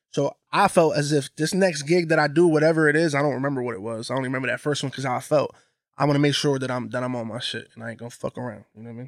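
Speaking at a very fast pace with big swings in loudness, a fairly high-pitched man with an American accent keeps ordinary pitch variation on a very clean recording with a silent background. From Bridgeport, Connecticut. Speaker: DJ. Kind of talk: casual chat. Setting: studio.

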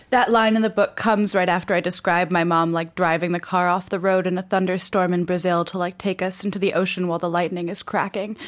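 A woman with an American accent, talking at a very fast pace with hardly any pauses. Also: medium pitch for a woman. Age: 30s. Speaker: author. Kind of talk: interview. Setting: studio. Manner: energetic.

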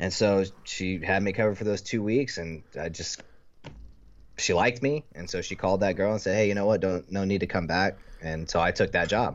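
A plain, everyday voice from a man, fairly low in pitch with ordinary variation, at a fairly quick pace. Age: 30s. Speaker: paintball player. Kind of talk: casual chat.

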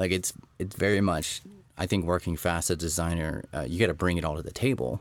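With an American accent, a man with a very deep, low pitch and vocal fry speaks at a very fast pace with ordinary pitch variation, on a very clean recording with a silent background. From Texas. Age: 40s. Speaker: designer and entrepreneur. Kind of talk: casual chat.

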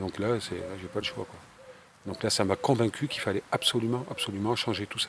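Noticeable background noise accompanies a man speaking in a fairly low pitch with ordinary pitch variation. His loudness swings widely. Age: 50s. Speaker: plant dye specialist and trainer. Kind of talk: interview. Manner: halting, with repetitions.

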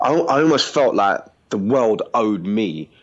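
Ordinary pitch variation in a London accent. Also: man. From East London, England. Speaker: former prisoner abroad. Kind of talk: interview.

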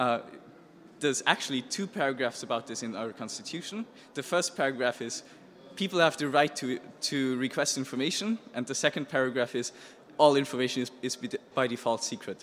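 Ordinary pitch variation in a German accent, at a fairly quick pace broken by long, frequent pauses. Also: man, medium pitch for a man. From Austria. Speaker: hacker journalist. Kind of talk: presentation. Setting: stage with audience.

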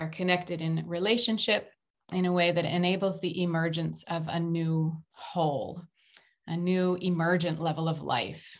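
An ordinary speaking voice with an American accent, talking at a moderate pace. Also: woman. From United States. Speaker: author and organizational consultant. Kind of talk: interview conversation.

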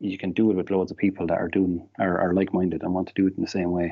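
With an Irish accent, a man speaks at a very fast pace. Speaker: Packers fan. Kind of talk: casual chat.

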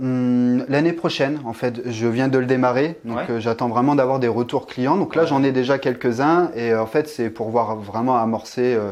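Medium-pitched male speech, fairly slow, with fairly even intonation and noticeable background noise. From central France, Orléans area. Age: 20s. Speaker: property investor. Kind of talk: interview. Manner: hesitant, many fillers.

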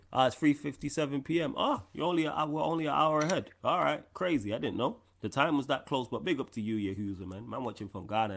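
A man's fairly high voice with vocal fry, a fairly quick pace, an animated tone and lively intonation, on a very clean recording with a silent background. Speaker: live stream host. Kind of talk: casual live Q&A chat. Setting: live stream. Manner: animated, slangy.

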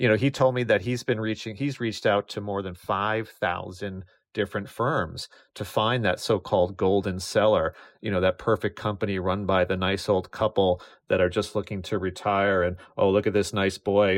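Against a quiet background, a man talks at a fairly quick pace. His is an unremarkable speaking voice, fairly low in pitch. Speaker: business journalist. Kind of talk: interview.

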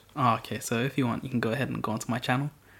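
A man is speaking. His voice sits at a medium pitch. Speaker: video creator guest. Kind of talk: casual chat. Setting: at home, recording. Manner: unenthusiastic, low-key.

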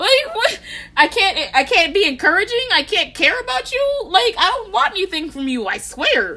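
A woman with an American accent uses a raised, projected voice at an extremely high pitch with a bright, sharp tone. Her pitch swings very widely at a moderate pace. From Texas. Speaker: podcast co-host, college student. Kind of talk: casual chat.

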